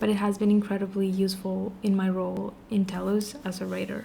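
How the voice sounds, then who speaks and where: A woman speaks with a Spanish accent. Noticeable background noise is present. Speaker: vlogger. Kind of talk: casual vlog monologue.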